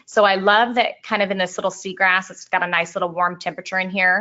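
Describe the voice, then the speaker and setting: At a very fast pace, a woman talks at a medium pitch. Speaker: portrait photographer. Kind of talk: webinar tutorial. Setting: online webinar.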